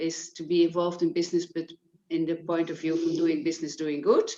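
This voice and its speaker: In a Dutch accent, a woman speaks at a fairly low pitch with a monotone, flat intonation. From Netherlands. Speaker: business impact developer, volunteer. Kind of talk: self-introduction on video call. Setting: video call.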